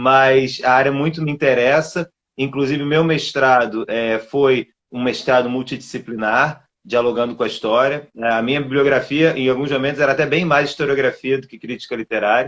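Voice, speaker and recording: This man speaks with a Rio de Janeiro accent at medium pitch. He keeps a moderate pace and fairly even intonation. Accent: carioca (Rio de Janeiro). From Brazil, Rio de Janeiro. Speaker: literature scholar, doctoral researcher. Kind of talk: online lecture-style interview.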